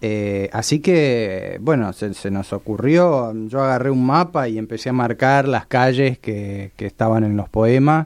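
A man's medium-pitched voice with ordinary pitch variation, a fairly slow pace and hardly any pauses, over a quiet background. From Mendoza, Argentina. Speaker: podcast creator, psychology student. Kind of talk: radio interview. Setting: radio studio. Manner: halting.

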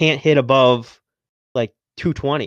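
A man speaks in an ordinary speaking voice at a medium pitch, fairly slowly and with fairly even intonation, the sound dry and close with no echo against a quiet background. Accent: American. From Massachusetts. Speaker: podcast host, fantasy baseball league manager. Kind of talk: casual chat.

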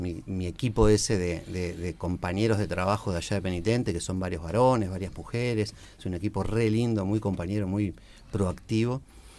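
A man's fairly low-pitched voice with a dark, mellow tone, ordinary pitch variation and a fairly quick pace. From Uruguay, Montevideo (Piedras Blancas). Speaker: recreation educator and teacher. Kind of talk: casual radio chat.

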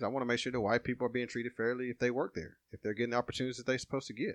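A man with an Alabama accent, dry and close with no echo, over a quiet background. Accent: Southern US (Alabama). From Alabama, Walker County. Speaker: small-town mayor and police officer. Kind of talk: casual interview.

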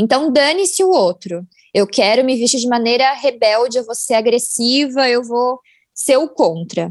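Lively intonation at a fairly slow pace from a woman with a high pitch. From Brazil, São Paulo. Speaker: fashion marketing content producer. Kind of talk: casual chat.

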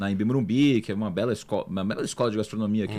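A man's lively intonation, captured on a very clean recording against a silent background. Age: 20s. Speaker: chef and restaurant owner. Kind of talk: casual interview chat.

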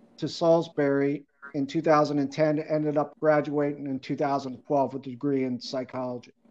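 A man's fairly high voice, fairly slow and fairly even in intonation, against a quiet background. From Maryland (Bowie, Prince George's County). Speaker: adaptive athlete and wheelchair lacrosse founder. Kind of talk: interview.

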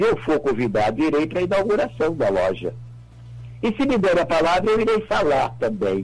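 Amid noticeable background noise, a man with a fairly high pitch talks at a fairly quick pace, his voice making very wide pitch swings while its loudness stays very even. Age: 80s+. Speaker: retired federal prosecutor and jurist. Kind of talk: radio interview. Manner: emphatic.

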